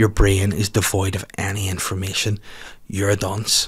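An animated man's voice with a Northern Irish accent over a quiet background. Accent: Northern Irish (Belfast). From Northern Ireland. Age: 30s. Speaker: comedian and podcast host; comedian, podcast host. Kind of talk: casual solo chat. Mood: jokey, ranting banter. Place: studio. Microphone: studio mic.

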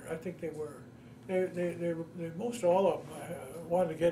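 A man with a Midwestern accent speaks in a high voice. There is light noise in the background. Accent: general American, Midwestern. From US Midwest, Ohio. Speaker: war veteran. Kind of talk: oral history interview. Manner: halting. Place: home room.

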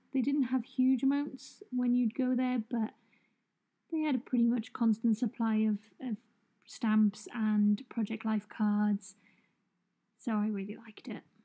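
With a dark, mellow tone and fairly high pitch, a woman speaks at a fairly slow pace with fairly even intonation and long, frequent pauses, the sound dry and close with no echo. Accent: British. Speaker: journaling vlogger. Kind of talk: voiceover narration. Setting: at home.

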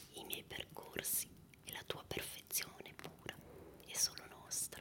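Whispering at a fairly slow pace, a man speaks. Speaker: poetry reader. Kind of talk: poetry reading. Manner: whispered, soft-spoken. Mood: calm, intimate, melancholic.

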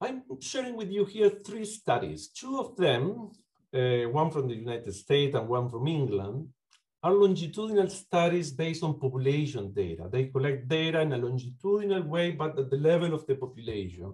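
A man with a Uruguayan accent, fairly high-pitched and somewhat breathy, at a moderate pace with very wide pitch swings. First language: Spanish. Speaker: psychology lecturer and clinician; psychology lecturer. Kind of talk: academic talk. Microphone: video call.

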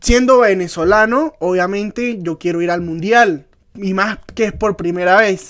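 Over a quiet background, a man with a high pitch speaks fairly slowly in an animated tone. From Venezuela. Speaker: football podcast co-host. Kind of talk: casual chat. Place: home room. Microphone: studio mic.

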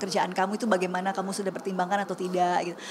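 A woman speaks over light background noise. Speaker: singer and housewife. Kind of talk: casual interview chat. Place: studio.

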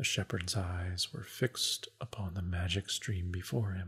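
This soft-spoken man has a very deep, low pitch and a somewhat breathy sound. The recording is very clean, with a silent background. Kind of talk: audiobook reading, ASMR. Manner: soft-spoken, relaxing.

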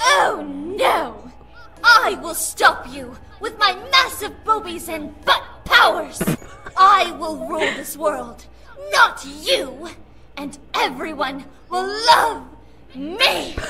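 Loud background noise sits under a put-on character voice that moves at a very slow pace with long, frequent pauses. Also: woman, extremely high pitch for a woman. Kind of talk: comic overacting. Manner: bombastic, theatrical shouting.

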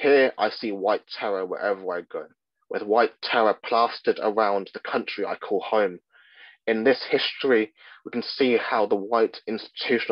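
A man with an RP accent speaks at a moderate pace with fairly even intonation. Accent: Received Pronunciation. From England, Midlands. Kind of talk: lecture.

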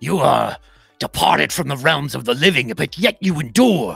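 Over faint background music, a put-on character voice growls through very wide pitch swings. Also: man. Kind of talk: archaic, formal. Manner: grand, solemn, commanding.

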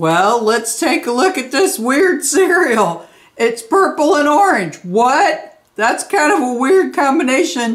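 A woman talks at a slow pace with few pauses. Her pitch is high and swings widely.

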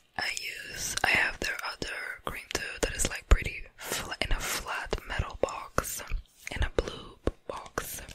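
A woman whispers quietly at a fairly slow pace. The sound is dry with no echo, though loud background noise is present. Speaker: ASMR creator. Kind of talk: soft ASMR product chat. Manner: hushed whisper into close mic. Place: home room. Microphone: studio mic.

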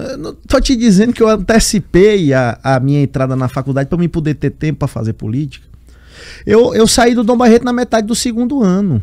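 Against a quiet background, a man with a dark, mellow tone and a high pitch talks at a fairly quick pace with very wide pitch swings. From Piauí, Brazil (Teresina). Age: 20s. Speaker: state politician. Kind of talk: interview. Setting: studio. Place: studio. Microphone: studio mic.

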